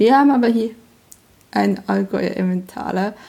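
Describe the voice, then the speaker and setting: A woman speaks at a fairly slow pace with a medium pitch. Her tone is dark and mellow, and somewhat breathy. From Switzerland, Emmental (canton of Bern). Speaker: podcast host. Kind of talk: casual chat.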